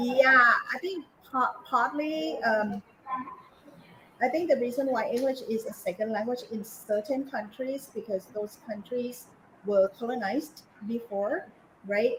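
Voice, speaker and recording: With a Thai accent and a high pitch, a woman speaks at a fairly slow pace with long, frequent pauses over noticeable background noise. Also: ordinary pitch variation. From Thailand. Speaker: English lecturer. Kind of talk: webinar interview. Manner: halting, many fillers.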